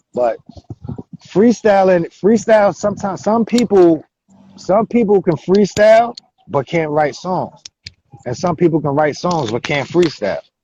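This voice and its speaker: Taking long, frequent pauses, a man speaks high-pitched with lively intonation, the sound dry and close with no echo. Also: moderate pace. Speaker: rapper. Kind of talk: interview. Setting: phone call. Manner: aggressive delivery.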